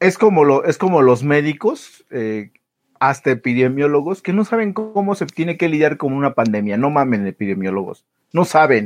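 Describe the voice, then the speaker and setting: A man talks with a Mexican accent at a fairly high pitch. His pitch swings very widely. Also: moderate pace. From Mexico. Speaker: podcast co-host. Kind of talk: casual chat.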